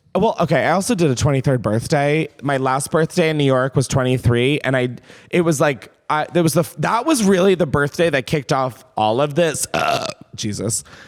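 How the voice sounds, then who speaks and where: A man with an American accent speaks in an animated tone at a fairly high pitch, his loudness very even, with noticeable background noise behind him. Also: lively intonation, moderate pace. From Delaware, US. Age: 30s. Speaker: podcast host. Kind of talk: casual chat.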